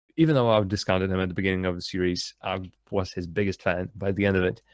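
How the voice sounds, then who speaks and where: With a Russian accent, a man speaks at a fairly low pitch on a very clean recording with a silent background. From Latvia. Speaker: esports commentator. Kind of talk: live commentary.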